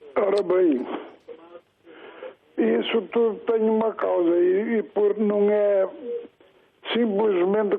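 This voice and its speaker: A man's high voice at a very slow pace, with long, frequent pauses, ordinary pitch variation and very even loudness. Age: old. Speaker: retired caller. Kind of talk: phone-in rant. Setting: phone call. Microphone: poor line, hard to understand.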